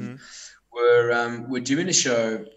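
With audible room echo, a man talks at medium pitch with lively intonation. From South Africa. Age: 30s. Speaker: metal band musician. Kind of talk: casual chat.

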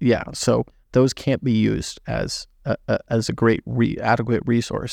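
An unremarkable speaking voice from a man, medium in pitch, at a moderate pace with fairly even intonation and a dry, close sound with no echo. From Southern California. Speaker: podcast host and veterinary student. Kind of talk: casual chat.

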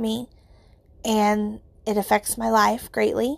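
The recording is very clean, with a silent background. A woman speaks at a very slow pace in a fairly high pitch. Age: 30s. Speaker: podcast host. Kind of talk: personal reflection monologue. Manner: casual, filler-heavy.

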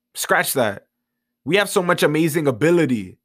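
A man with an American accent speaks at a fairly high pitch with lively intonation. The recording is very clean, with a silent background. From New York City (Bronx). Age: young. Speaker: podcast host and motivational speaker. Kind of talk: motivational monologue.

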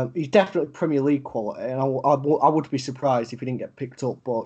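A man in a Yorkshire accent talks at a very fast pace and a fairly high pitch with ordinary pitch variation. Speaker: podcast co-host. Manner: casual, frequent fillers, swears.

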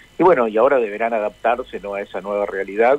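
A man speaks while noticeable background noise plays behind him. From Argentina, San Francisco (Córdoba). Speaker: ambassador. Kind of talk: interview. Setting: phone call. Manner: hesitant, many fillers.

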